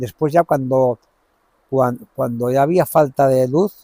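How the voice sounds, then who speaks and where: The man's voice has a dark, mellow tone and a medium pitch, with a dry, close sound and no echo. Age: 70s. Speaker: mill owner. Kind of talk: interview. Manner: halting, repetitive.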